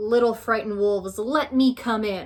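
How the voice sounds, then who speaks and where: A put-on character voice from a woman, pitched fairly high and delivered at a moderate pace. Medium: read story. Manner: menacing.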